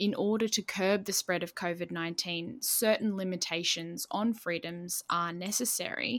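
With a plain, everyday voice, a woman speaks at a moderate pace in a medium pitch with ordinary pitch variation, on a very clean recording with a silent background. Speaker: podcast host. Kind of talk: interview.

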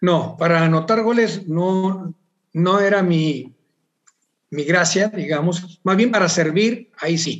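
At a very slow pace, a man speaks with high pitch and ordinary pitch variation. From northern Mexico, Monterrey. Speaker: sports journalist. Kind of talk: casual interview.

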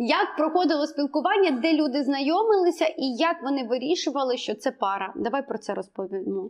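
A woman talks at a fairly quick pace with hardly any pauses, her high pitch swinging very widely. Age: 30s. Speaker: podcast host, ethnology. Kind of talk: casual chat.

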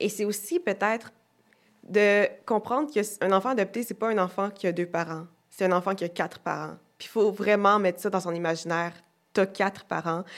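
Delivered at a moderate pace, this is a normal speaking voice with fairly even intonation. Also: woman, medium pitch for a woman. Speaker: actress and author. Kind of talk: casual chat.

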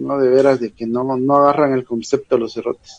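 A man speaks at a moderate pace in an unremarkable speaking voice, fairly high in pitch. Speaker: football pundit. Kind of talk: casual chat.

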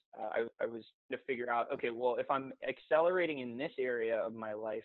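With an unremarkable speaking voice, a man talks at a fairly quick pace in a medium pitch with ordinary pitch variation. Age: 20s. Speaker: fitness coach and entrepreneur. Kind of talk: casual interview chat.

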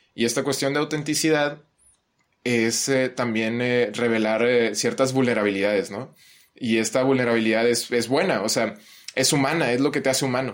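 A man speaks at a mid-range pitch and a moderate speed, using an ordinary speaking voice with fairly level intonation. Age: 20s. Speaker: psychology student. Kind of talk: casual chat.

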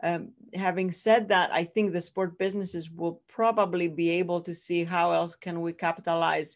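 Against a quiet background, a woman with a fairly low voice speaks at a moderate pace with fairly even intonation. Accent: Greek. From Greece. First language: Greek. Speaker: professor. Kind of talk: interview. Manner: halting.

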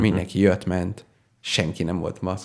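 A man's very deep, low voice with vocal fry. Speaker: radio show co-host, university assistant lecturer. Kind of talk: casual chat.

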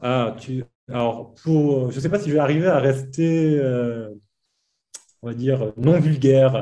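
A man with a dark, mellow tone and medium pitch speaks at a very slow pace. His pitch variation is ordinary, and he takes long, frequent pauses. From Provence, southern France. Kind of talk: casual chat.

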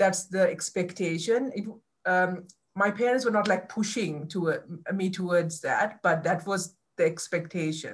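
The voice is somewhat breathy, with ordinary pitch variation at a fairly slow pace. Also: woman, medium pitch for a woman. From Sri Lanka. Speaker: community organization founder, former lawyer. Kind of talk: interview testimony.

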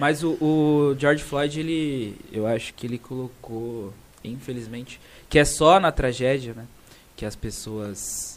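This is a man speaking. His pace is fairly slow. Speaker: podcast co-host, lawyer. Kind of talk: casual chat.

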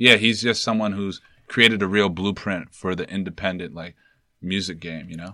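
A man with a New York accent, fairly low pitch, a bright, sharp tone, fairly even intonation and big swings in loudness, over a quiet background. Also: moderate pace. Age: 20s. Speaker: entrepreneur and brand founder. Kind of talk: casual chat.

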